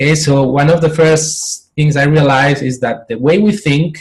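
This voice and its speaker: Somewhat breathy and fairly high in pitch, a man speaks at a moderate pace. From Spain. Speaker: professional coach. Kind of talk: interview. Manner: halting, with many repetitions.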